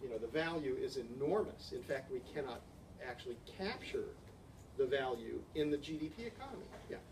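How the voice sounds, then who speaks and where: Talking at a fairly quick pace, a man is heard with audible room echo and noticeable background noise. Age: 60s. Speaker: ecosystem researcher. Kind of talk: conference Q&A discussion. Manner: halting, frequent repetitions.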